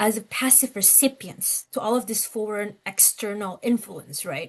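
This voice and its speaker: A woman with a fairly high-pitched voice speaks with a slight non-native accent. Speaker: lecturer. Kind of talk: lecture. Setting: class, in person and on Zoom.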